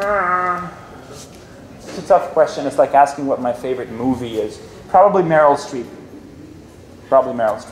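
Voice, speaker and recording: A man with a fairly high pitch talks at a moderate pace with lively intonation, big swings in loudness, long, frequent pauses and noticeable background noise. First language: not English. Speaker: filmmaker. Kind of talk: Q&A session with students. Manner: animated.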